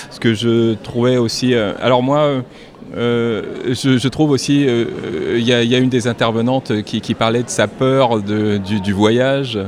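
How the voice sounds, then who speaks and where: A man speaks at a very slow pace with fairly even intonation. Noticeable background noise can be heard. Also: medium pitch for a man. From Paris suburbs. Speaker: former radio journalist, event host. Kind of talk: interview. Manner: hesitant.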